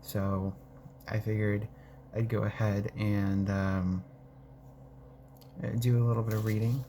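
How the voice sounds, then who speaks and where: A man speaks softly in a fairly low, somewhat breathy voice. His intonation is lively and his pace fairly slow. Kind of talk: casual talk to camera. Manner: soft-spoken.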